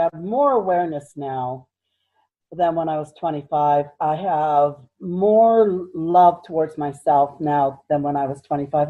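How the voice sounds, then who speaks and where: A woman speaks at a moderate pace. She has a normal speaking voice. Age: 60s. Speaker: minister and psychic healer. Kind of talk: interview.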